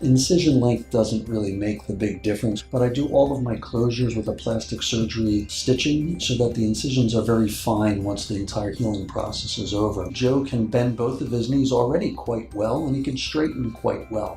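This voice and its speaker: With music in the background, a man of medium pitch talks at a moderate pace with ordinary pitch variation and hardly any pauses. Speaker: orthopedic surgeon. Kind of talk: doctor explaining procedure.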